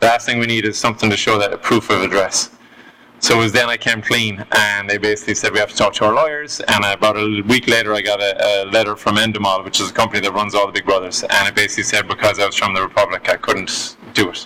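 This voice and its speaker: At a very fast pace, a man with a fairly low pitch speaks in a monotone, flat way amid noticeable background noise. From Ireland, Galway (west coast). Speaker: guest telling life story. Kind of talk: casual interview storytelling.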